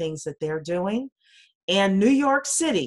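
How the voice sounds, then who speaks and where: Faint music plays in the background as a woman with an American accent speaks. Her pace is moderate and her intonation lively. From US South. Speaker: blockchain consultant. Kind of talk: casual chat. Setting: video call. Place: home room. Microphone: video call.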